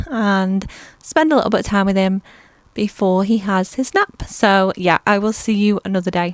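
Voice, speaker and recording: A soft-spoken woman with a British accent talks at a moderate pace and with fairly even intonation, in a dry, close sound with no echo on a very clean recording with a silent background. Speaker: small business owner and vlogger. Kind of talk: product review vlog. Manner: casual.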